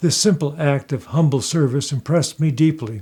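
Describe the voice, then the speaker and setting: This man has an American accent and a fairly high pitch. His tone is dark and mellow, somewhat breathy, at a moderate pace. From Southern California. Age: 80s+. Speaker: retired physician and oncology professor. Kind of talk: scripted personal narration. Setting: at home.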